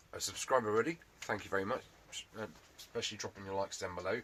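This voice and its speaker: A man puts on a raspy character voice, fairly low in pitch, rattling along at a very fast pace. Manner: stuttering.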